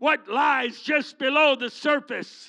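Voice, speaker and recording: Against a quiet background, a man with an extremely high pitch speaks at a fairly slow pace in a raised, projected voice, his animated delivery bright and sharp in tone with ordinary pitch variation. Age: 70s. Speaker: guest preacher. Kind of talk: sermon. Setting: church.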